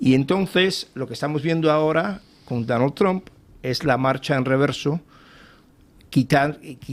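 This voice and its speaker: A man's fairly high voice with ordinary pitch variation, at a fairly slow pace with long, frequent pauses. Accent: non-native. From Cuba. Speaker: think tank fellow and author. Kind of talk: TV panel interview. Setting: TV studio panel. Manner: halting, many repetitions.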